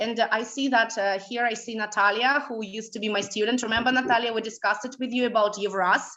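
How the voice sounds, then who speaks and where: A woman speaks in a Russian accent with a bright, sharp tone, a fairly high pitch and fairly even intonation. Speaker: language school director and trainer. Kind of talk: webinar lecture. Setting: online webinar. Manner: hesitant, many fillers.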